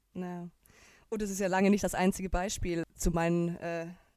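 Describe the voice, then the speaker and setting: Fairly even intonation and a moderate pace in a dark, mellow tone. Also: woman. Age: 30s. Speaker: podcast co-host. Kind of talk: casual chat. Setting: video call.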